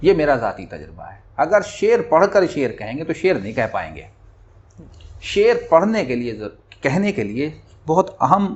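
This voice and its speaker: Very wide pitch swings and vocal fry from a man. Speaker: humorous Urdu poet. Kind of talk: interview.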